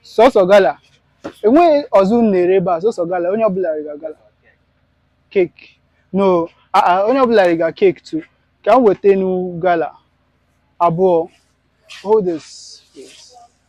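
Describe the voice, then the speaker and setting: A high-pitched man at a moderate pace, with ordinary pitch variation, big swings in loudness and long, frequent pauses, in a dry, close sound with no echo. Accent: Nigerian. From Nigeria, Igbo area. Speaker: food vlogger. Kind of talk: on-location vlog, shopping talk. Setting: outdoors at a village square.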